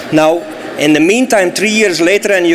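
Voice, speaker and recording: A man speaks with a Flemish accent at a high pitch, with ordinary pitch variation. Noticeable background noise runs underneath. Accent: Belgian Dutch accent in English. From Belgium (Flemish). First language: Dutch. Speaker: solar energy company executive. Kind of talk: speech at event.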